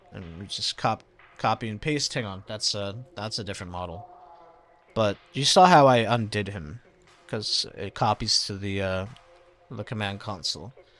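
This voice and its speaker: A man's fairly low voice at a moderate pace, with ordinary pitch variation, big swings in loudness, long, frequent pauses and music in the background. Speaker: gaming tutorial creator. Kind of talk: tutorial. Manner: casual, halting with fillers.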